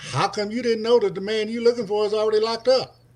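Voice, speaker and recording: Somewhat breathy, a man's voice carries his words. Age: 60s. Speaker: former parolee. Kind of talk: casual discussion.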